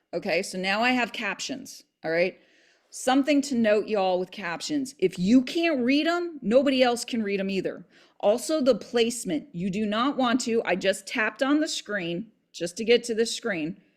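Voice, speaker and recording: Here a woman has a normal speaking voice, fairly high in pitch, with lively intonation at a moderate pace. The recording is very clean, with a silent background. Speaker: real estate agent and video tutor. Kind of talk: tutorial.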